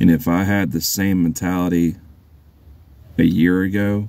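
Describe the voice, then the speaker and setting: A man speaks at a moderate pace. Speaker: YouTuber commenting on online drama. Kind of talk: casual vlog monologue. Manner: soft-spoken; halting, repeats words.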